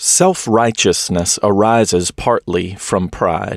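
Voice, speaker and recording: A man's plain, everyday voice, fairly low-pitched and fairly slow, in a very clean recording with a silent background and a dry, close sound with no echo. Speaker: pastor reading a historic sermon. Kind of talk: sermon reading.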